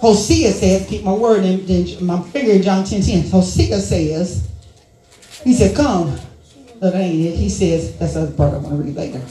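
The tone is animated, the pace fairly slow. Noticeable background noise runs underneath. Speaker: preacher. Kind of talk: sermon. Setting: church with congregation. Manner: animated, call-and-response, rhythmic repetition; loud, exhorting the congregation.

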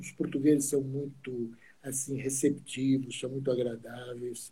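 Somewhat breathy, a man speaks at a fairly slow pace with fairly high pitch and a dark, mellow tone. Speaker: classic car club official. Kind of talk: casual interview.

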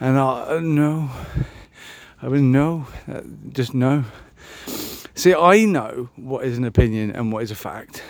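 A man at a fairly slow pace with ordinary pitch variation and long, frequent pauses. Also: medium pitch for a man, big swings in loudness. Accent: British. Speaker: podcaster. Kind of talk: casual chat.

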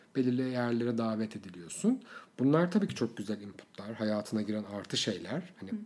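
With an ordinary speaking voice, a man of medium pitch talks at a fairly quick pace with ordinary pitch variation. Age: 30s. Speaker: influencer manager and blogger. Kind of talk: casual interview chat.

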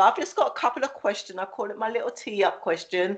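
A woman in a London accent talks at a fairly quick pace with ordinary pitch variation. The background is quiet. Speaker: podcast host. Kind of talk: casual interview.

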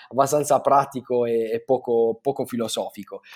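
A man of medium pitch speaks at a moderate pace. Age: 30s. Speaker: brand designer. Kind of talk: interview. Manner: halting, many fillers.

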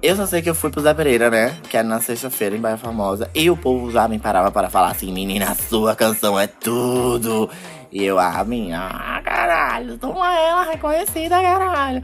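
Against noticeable background noise, a man speaks at a moderate pace with hardly any pauses. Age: 20s. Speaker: singer and podcast host. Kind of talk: casual chat.

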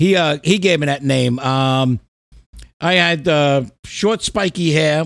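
A man's voice sits fairly high, and its pitch varies in an ordinary way. The background is silent on this very clean recording. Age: 50s. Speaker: podcast host and heavy metal musician. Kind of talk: casual chat. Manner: animated.

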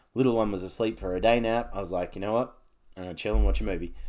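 A man is speaking. He has an Australian accent. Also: very clean recording, silent background. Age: 40s. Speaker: podcast host. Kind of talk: casual solo monologue.

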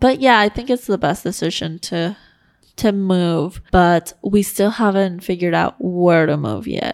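A woman with a plain, everyday voice talks at a fairly slow pace, her pitch medium and her pitch variation ordinary. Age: 20s. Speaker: podcast co-host. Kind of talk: casual chat.

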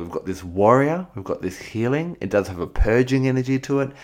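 Over a very clean recording with a silent background, a man with an Australian accent and a fairly low pitch talks at a very fast pace with very wide pitch swings. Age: 40s. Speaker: spiritual podcast host. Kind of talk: spiritual teaching monologue. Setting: home recording.

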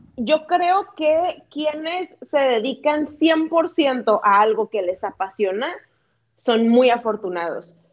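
A woman talks very slowly in a high pitch with lively intonation. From Tijuana, Mexico. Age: 30s. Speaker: lawyer and fitness instructor. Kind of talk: interview. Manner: talkative.

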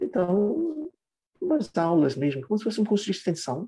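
Dark and mellow in tone, a man's voice swings very widely in pitch. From Trinidad and Tobago. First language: English (speaking Portuguese). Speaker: English teacher. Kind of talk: interview.

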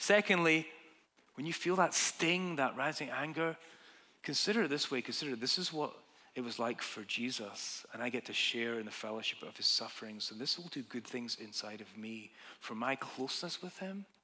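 A man in a Scottish accent, medium in pitch with a bright, sharp tone, lively intonation, big swings in loudness and a moderate pace. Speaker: pastor. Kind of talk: sermon. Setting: church.

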